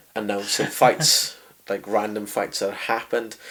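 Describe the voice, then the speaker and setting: A man with a South Welsh accent, fairly low in pitch, at a moderate pace with fairly even intonation. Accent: south Welsh valleys. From Wales, Rhondda valleys. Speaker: boxing and MMA ring announcer. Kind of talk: interview. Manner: loud, chatty.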